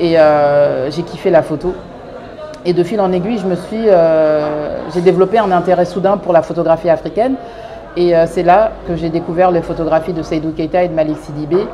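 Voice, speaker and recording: Against noticeable background noise and audible room echo, a woman speaks with a fairly low pitch and fairly even intonation. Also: moderate pace. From France, Paris suburbs (Clichy-sous-Bois). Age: 30s. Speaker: fashion designer, brand founder. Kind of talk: interview monologue. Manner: hesitant, many fillers.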